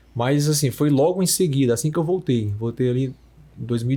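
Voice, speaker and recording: Dark, mellow, somewhat breathy male voice. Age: 30s. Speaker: radiologist. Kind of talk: podcast conversation.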